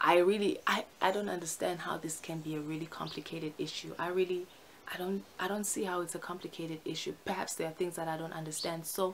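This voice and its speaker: Over light background noise, a woman talks at a very fast pace with a fairly low pitch and monotone, flat intonation. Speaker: vlogger. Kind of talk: casual vlog chat. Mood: earnest, opinionated. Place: home room. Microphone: phone near.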